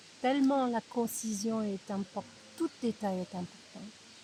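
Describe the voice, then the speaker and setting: A slight non-native accent colors this somewhat breathy voice, which moves at a fairly slow pace with ordinary pitch variation. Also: woman. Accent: slight foreign accent in French. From United States. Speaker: writer's daughter, interviewee. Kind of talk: interview. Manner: hesitant, with fillers.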